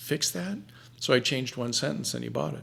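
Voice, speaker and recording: A man talks with vocal fry. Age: 70s. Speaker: writer and anthology managing editor. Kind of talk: interview.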